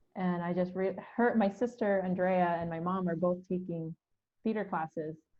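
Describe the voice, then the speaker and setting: Speaking in an American accent, a woman has a normal speaking voice. Her pitch is medium and her intonation fairly even. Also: moderate pace. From Philippines, then Hayward, California from age ten. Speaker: theatre artistic director. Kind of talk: podcast interview. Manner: casual, with fillers and restarts.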